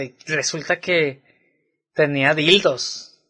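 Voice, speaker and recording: A man with a Mexican accent speaks in a bright, sharp tone with ordinary pitch variation. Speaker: podcast co-host. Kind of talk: casual chat.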